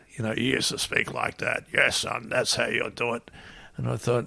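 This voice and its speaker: Medium in pitch, a man speaks with an Australian accent. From Australia, Melbourne and Gold Coast. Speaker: former pro surfer and radio surf reporter. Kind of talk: interview storytelling.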